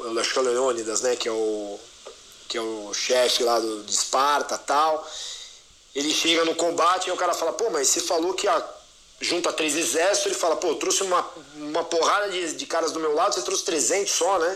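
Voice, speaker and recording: Recorded with audible room echo and noticeable background noise, a man speaks high-pitched with lively intonation. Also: moderate pace. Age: 40s. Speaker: enterprise sales executive. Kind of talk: podcast interview. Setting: live audio room.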